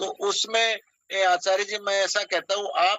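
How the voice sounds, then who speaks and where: The intonation from this man is monotone and flat. His voice sits high in pitch. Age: 60s. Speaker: social activist. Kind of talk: casual chat. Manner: halting.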